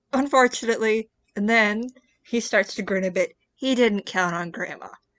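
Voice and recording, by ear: Reading aloud in a natural voice with ordinary pitch variation, quiet background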